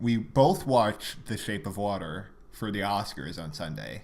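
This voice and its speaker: A man's fairly low voice carries audible room echo. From Quebec, Montreal. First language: French. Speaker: podcast co-host. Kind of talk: casual chat. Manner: hesitant, many fillers.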